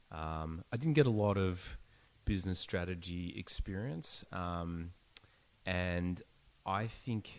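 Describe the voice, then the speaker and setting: This man talks at a fairly slow pace in an Australian accent. His pitch is very deep and low, with ordinary variation. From Australia, Melbourne. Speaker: startup founder. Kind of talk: podcast interview.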